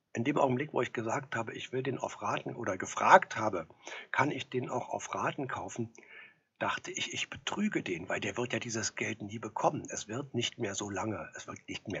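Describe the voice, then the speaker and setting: A man whispers at a moderate pace. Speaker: actor. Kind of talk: storytelling monologue.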